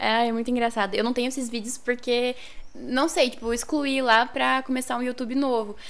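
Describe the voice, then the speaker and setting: Her voice is high and monotone, with flat intonation. The woman speaks at a fairly quick pace. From northern Paraná, Brazil. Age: 20s. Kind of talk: casual interview.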